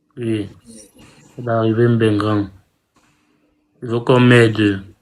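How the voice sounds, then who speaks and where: At a very slow pace, a man speaks with medium pitch and monotone, flat intonation. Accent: Cameroonian. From Cameroon. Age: young. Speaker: migrant asking for help. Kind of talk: appeal for help on live stream. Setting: live video stream. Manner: halting.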